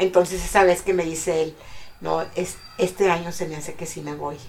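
A woman speaks with fairly even intonation at a fairly slow pace. Her pitch sits fairly low, and noticeable background noise runs underneath. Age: 70s. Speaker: grandmother sharing life story. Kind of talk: interview, personal testimony.

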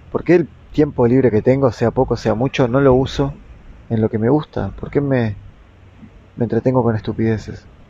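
A man at medium pitch with a dark, mellow tone, fairly even intonation, a moderate pace, and long, frequent pauses. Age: 30s. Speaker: podcaster and therapist. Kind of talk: reflective monologue.

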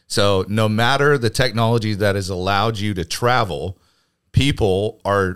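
In a normal speaking voice, a man talks at a moderate pace with a fairly low pitch and ordinary variation, the recording very clean with a silent background. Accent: American. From Arizona (Phoenix). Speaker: entrepreneur and church leader. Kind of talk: casual chat.

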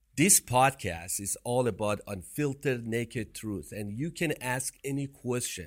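In a Persian accent, the speaker talks at a fairly slow pace with lively intonation and hardly any pauses. The recording is very clean, with a silent background. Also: man, medium pitch for a man. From Iran. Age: 50s. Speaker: podcast co-host, entrepreneur. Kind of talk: casual chat.

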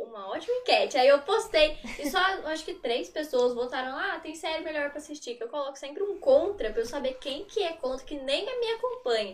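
A high-pitched woman speaks fairly quickly, with hardly any pauses and very wide swings in pitch. Her loudness rises and falls sharply over noticeable background noise. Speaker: content creator. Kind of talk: casual chat.

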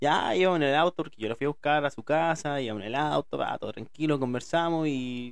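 A man with a Chilean accent speaks at a moderate pace in a fairly high pitch with ordinary pitch variation. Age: 30s. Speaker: podcaster. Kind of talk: casual monologue. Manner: informal, self-described as speaking badly.

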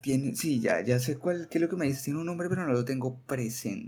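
A man with an unremarkable speaking voice, a medium pitch and ordinary pitch variation. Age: 20s. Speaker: teacher. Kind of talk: casual chat.

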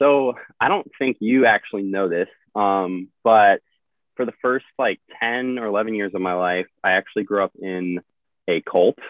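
A man talks with a Midwestern American accent at a fairly slow pace. His pitch varies in an ordinary way. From US Midwest, central Illinois. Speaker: Coast Guard rescue swimmer. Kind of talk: casual interview.

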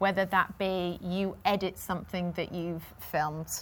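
In a Yorkshire accent, a woman talks at a fairly slow pace and medium pitch. Her intonation is monotone and flat. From Yorkshire, near Leeds. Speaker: TV sports presenter. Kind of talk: interview.

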